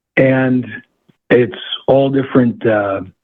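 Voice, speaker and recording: The man talks in an American accent. He keeps his intonation fairly even. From New York State, Hudson Valley. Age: 60s. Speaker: fly fishing guide. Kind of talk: interview. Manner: halting.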